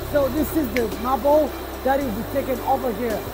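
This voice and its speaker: There is music in the background. A man talks at a moderate pace. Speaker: company guide. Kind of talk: factory tour commentary. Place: factory.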